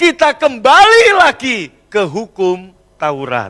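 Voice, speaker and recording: A man's raised, projected voice sits at an extremely high pitch, bright and sharp in tone and animated, with a dry, close sound and no echo. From Central Java, Indonesia. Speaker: pastor. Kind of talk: sermon. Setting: church.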